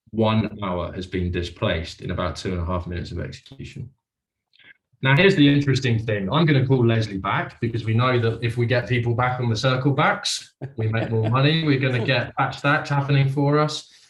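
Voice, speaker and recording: Somewhat breathy, a man's voice moves with lively intonation. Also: medium pitch for a man, fairly quick pace. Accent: British. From UK. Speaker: sales executive doing live cold call demo. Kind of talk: live demonstration with cold calls.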